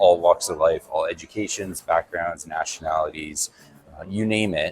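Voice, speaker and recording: Recorded with a dry, close sound and no echo, a man with a Canadian accent speaks at a moderate pace. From Airdrie, Alberta, Canada. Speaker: city council candidate, military veteran. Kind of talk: interview answer.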